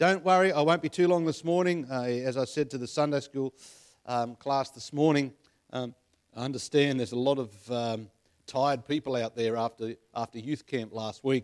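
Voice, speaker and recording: Spoken at a moderate pace with an Australian accent, the voice shows ordinary pitch variation. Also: man, medium pitch for a man. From Australia, western Sydney (Penrith). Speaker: preacher. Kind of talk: sermon. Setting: church.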